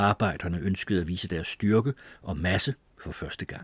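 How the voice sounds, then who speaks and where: A man speaks at a very deep, low pitch, somewhat breathy. The sound is dry and close with no echo, and the recording is very clean with a silent background. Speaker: audiobook narrator. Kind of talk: literary audiobook reading of a memoir, formal and measured.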